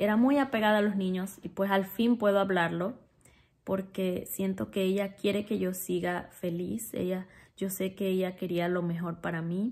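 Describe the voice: A woman's medium-pitched, slightly mellow voice with fairly even intonation. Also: moderate pace.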